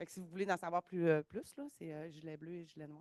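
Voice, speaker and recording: In a dry, close recording with no echo, a woman with a Quebec accent talks at a fairly quick pace with a fairly low pitch. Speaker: event coordinator at research centre. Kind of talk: event welcome speech. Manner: hesitant, many fillers.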